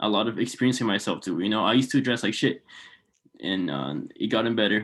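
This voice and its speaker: A man with a fairly low pitch and vocal fry speaks very fast, his intonation lively. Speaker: clothing brand founder. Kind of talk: casual chat.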